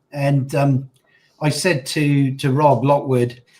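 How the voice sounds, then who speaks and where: The man's pitch is fairly high and his voice somewhat breathy. He speaks at a very slow pace. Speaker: livestream host. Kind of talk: casual chat. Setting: livestream.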